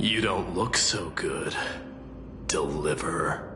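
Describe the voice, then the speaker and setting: Loud background noise surrounds a man doing a cartoonish character voice. He talks at a very slow pace. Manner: commanding, proud.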